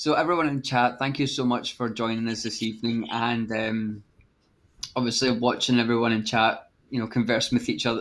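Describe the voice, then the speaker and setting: In a Scottish accent, a man speaks at a medium pitch and moderate pace with fairly even intonation. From Scotland. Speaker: vaping show co-host. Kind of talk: casual chat.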